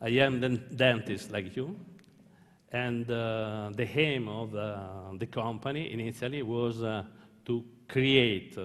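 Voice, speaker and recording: A man with an Italian accent talks at a very slow pace and medium pitch. Audible room echo surrounds his voice. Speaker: dentist and company founder. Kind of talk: opening speech. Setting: conference stage with audience. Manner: halting.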